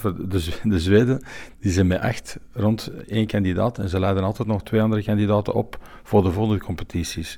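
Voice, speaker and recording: His voice has a dark, mellow tone and fairly low pitch, moving at a moderate pace. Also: fairly even intonation. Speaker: sommelier and event organiser. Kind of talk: interview. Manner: halting.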